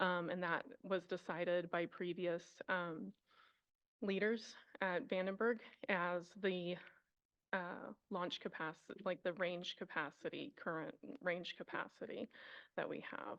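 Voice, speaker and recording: Speaking at a fairly slow pace with long, frequent pauses, a woman uses a medium pitch and ordinary pitch variation. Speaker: environmental planner at a military base. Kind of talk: testimony at public hearing. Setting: council chambers hearing room. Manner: hesitant, many fillers.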